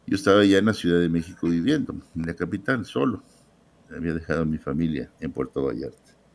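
A man speaks at a fairly quick pace with a very deep, low pitch and lively intonation. Vocal fry runs through his voice. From Mexico, Guadalajara. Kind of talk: testimony.

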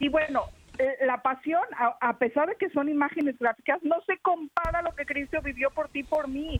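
An animated tone comes across in a dry, close sound with no echo. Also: woman. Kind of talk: casual chat.

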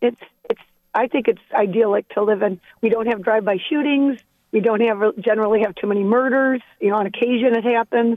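In a plain, everyday voice with an American accent, a woman talks at a fairly quick pace and fairly high pitch, her intonation fairly even and her loudness very even. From northern Ohio, Port Clinton. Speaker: caller. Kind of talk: call-in chat.

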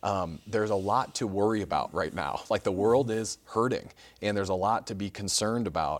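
Speaking at a fairly quick pace, a man with a Chicago accent has a fairly low pitch and ordinary pitch variation. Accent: Chicago-area American. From US Midwest, Chicago suburbs. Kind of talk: TV interview with call-ins. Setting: studio.

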